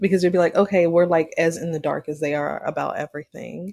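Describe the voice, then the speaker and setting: A woman speaks in a Southern US accent at a fairly low pitch. Her intonation is monotone and flat. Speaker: podcast co-host. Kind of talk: casual chat. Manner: casual, filler-heavy speech.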